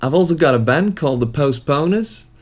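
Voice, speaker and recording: A man with a Dutch accent speaks with lively intonation. The recording is very clean, with a silent background. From Netherlands. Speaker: musician. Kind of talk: tutorial.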